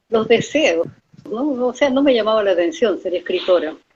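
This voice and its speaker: A woman speaks with lively intonation. Her pitch sits fairly high. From Peru. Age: 70s. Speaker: author. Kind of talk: interview.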